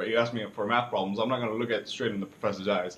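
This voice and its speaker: A man with a Cuban accent. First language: Spanish. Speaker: student. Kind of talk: self-reflection video. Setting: alone speaking to camera. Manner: hesitant, many fillers.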